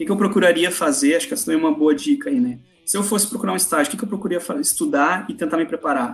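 Against noticeable background noise, a high-pitched man talks at a very fast pace with very wide pitch swings. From southern Brazil, Porto Alegre. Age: 30s. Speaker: finance professional giving career advice. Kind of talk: podcast interview.

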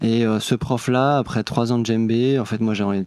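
A plain, everyday voice moves at a moderate pace in a dry, close sound with no echo. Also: man. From Brittany. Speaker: music producer. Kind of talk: casual chat. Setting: studio.

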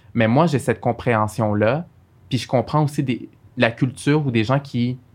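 A man's voice at medium pitch with fairly even intonation. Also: very clean recording, silent background. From Montreal, Quebec (Saint-Michel). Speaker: lawyer. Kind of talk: interview.

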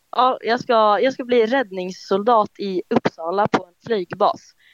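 A woman at medium pitch with lively intonation and a fairly slow pace, in a dry, close sound with no echo against a quiet background. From Finspång, Östergötland, Sweden. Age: young. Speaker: student quiz contestant. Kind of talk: casual quiz chat. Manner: hesitant.

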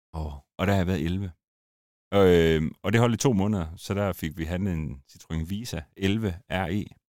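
The recording is very clean with a silent background as a man with a very deep, low pitch talks at a fairly slow pace with ordinary pitch variation. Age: 40s. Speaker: former drift driver and car YouTuber. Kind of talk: casual interview chat. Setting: studio.

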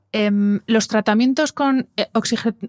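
In a normal speaking voice, a woman talks at a moderate pace with a fairly high pitch and fairly even intonation. The sound is dry and close, with no echo. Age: 40s. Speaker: podcast host, wellness communicator. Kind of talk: interview.

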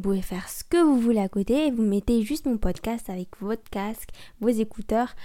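The tone of the voice is dark and mellow. Nothing can be heard behind it on this very clean recording. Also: woman. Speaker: podcast host. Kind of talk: solo casual monologue. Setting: home recording with microphone.

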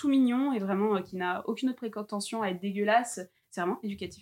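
A woman talks in a plain, everyday voice at a medium pitch with ordinary pitch variation. Her pace is fairly quick, and the recording is very clean, with a silent background. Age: 20s. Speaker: podcaster and Instagram account creator. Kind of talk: casual chat.

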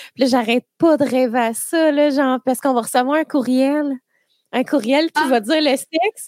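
A woman's high voice in a Quebec accent, with ordinary pitch variation and a dry, close sound without echo. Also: moderate pace, very even loudness. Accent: Québécois French. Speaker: podcast host. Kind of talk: casual chat. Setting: studio.

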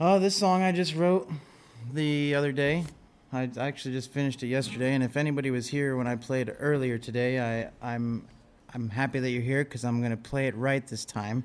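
A man with an American accent talks at a fairly quick pace in a plain, everyday voice, with a medium pitch and ordinary pitch variation. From Ohio, Loudonville area. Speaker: singer-songwriter. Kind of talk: casual interview chat.

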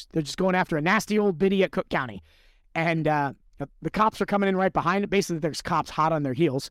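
A man talks at a very fast pace in a high pitch, with ordinary pitch variation. The sound is dry and close, with no echo. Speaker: podcast host. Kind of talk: casual chat.

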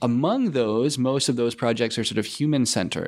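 Here is a man with a Canadian accent and a normal speaking voice. His pitch is medium, with ordinary pitch variation. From London, Ontario, Canada. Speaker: machine learning professor. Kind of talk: interview.

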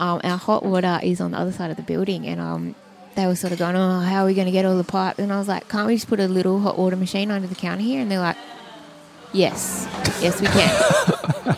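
A woman with an Australian accent talks very fast at a medium pitch with fairly even intonation. Noticeable background noise runs behind her. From Sydney, Australia. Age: 30s. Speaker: cafe owner. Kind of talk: interview. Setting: in a cafe.

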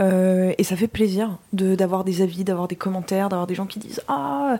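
A plain, everyday voice. The pace is moderate. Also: woman. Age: 20s. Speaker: podcast co-host, history student. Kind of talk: casual chat. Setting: studio.

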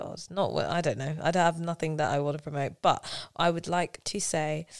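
In a South London accent, a woman speaks with a very deep, low pitch at a moderate pace. Her intonation stays fairly even on a very clean recording with a silent background. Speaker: musical theatre actress. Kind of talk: casual chat.

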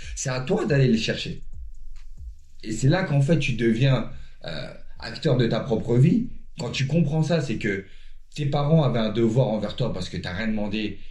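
A man with a medium pitch and a dark, mellow, somewhat breathy tone speaks at a fairly slow pace with lively intonation. His delivery has long, frequent pauses, and audible room echo surrounds it. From Paris suburbs, France. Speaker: former pro basketball player, life coach. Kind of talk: casual interview. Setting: at the guest's home.

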